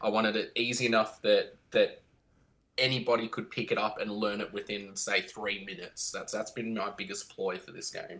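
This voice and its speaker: Speaking with an Australian accent, a man keeps a moderate pace. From Victoria, Australia. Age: 30s. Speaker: board game designer, former navy submariner. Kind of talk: interview.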